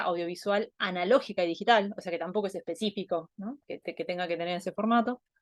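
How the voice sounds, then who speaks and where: A woman with an Argentine accent speaks very fast at a medium pitch with fairly even intonation, the sound dry and close with no echo over a quiet background. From Argentina. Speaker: anthropologist. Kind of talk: online talk presentation. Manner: hesitant, many fillers.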